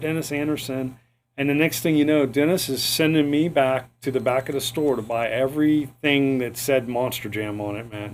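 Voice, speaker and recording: This man speaks with an American accent at medium pitch. He moves at a fairly quick pace. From US South, St. Petersburg, Florida. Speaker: podcast host and retired artist. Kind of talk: casual interview chat. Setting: studio. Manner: animated.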